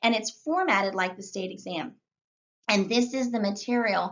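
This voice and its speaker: A woman's medium-pitched voice. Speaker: real estate exam instructor. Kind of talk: tutorial. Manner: fast; animated.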